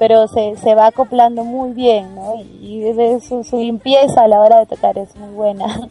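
Over music in the background, a woman with a fairly high pitch speaks at a fairly slow pace in a monotone, flat intonation with big swings in loudness, in a dry, close sound with no echo. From Peru, Arequipa region. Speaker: singer and music teacher. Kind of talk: interview.

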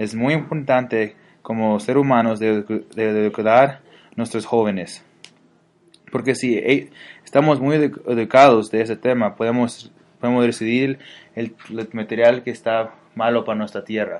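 A man speaks at a medium pitch and a fairly slow pace, his intonation fairly even. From Mexico and US, bicultural. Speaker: student. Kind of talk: scripted narration. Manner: halting.

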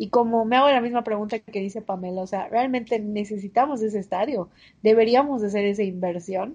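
A woman's fairly high-pitched, fairly quick delivery in an ordinary speaking voice with fairly even intonation. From Mérida, Yucatán, Mexico. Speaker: podcast co-host, university student. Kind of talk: casual chat.

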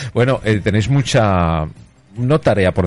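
A man talks with ordinary pitch variation. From Spain, Zaragoza (Aragon). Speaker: radio host. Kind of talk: radio interview.

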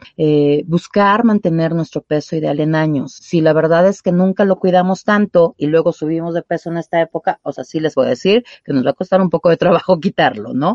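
A woman at a fairly low pitch and fairly quick pace, with ordinary pitch variation and hardly any pauses. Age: 40s. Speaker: sexologist. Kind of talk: radio interview. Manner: hesitant, many fillers.

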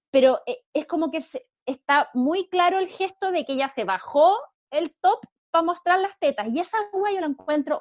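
Lively intonation marks this woman's speech at a fairly slow pace. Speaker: podcast host. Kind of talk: casual chat.

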